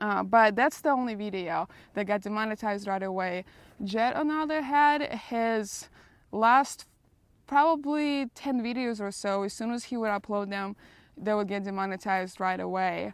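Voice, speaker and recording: A woman with a Russian accent speaks at a moderate pace and a fairly high pitch, with ordinary pitch variation. The recording is very clean, with a silent background. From Russia, Moscow. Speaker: vlogger. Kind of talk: casual Q&A vlog.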